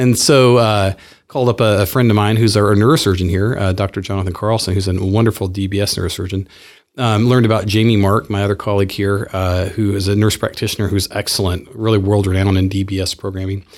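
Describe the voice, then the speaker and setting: A fairly low-pitched man at a very fast pace, his intonation fairly even. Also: very clean recording, silent background. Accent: American. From US South, Clarksville, Tennessee. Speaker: neurologist. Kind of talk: interview.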